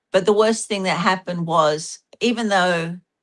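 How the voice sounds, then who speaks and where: A woman speaks in an Australian accent. Her intonation stays fairly even. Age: 60s. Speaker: panel guest, religious abuse survivor. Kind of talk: group discussion and presentation.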